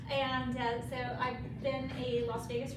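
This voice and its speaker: Amid loud background noise and audible room echo, a woman speaks at a very slow pace. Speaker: presenter. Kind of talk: self-introduction to a meeting group. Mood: friendly, laughs a bit. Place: meeting room. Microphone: camera far.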